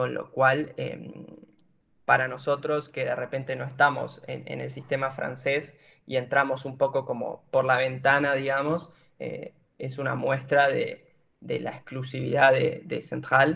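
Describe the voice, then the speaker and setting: In an Argentine accent, a man speaks fairly slowly, his loudness swinging widely. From Argentina, General Roca, Río Negro. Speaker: engineering student sharing exchange experience. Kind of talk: informative presentation. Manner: hesitant, many filler sounds.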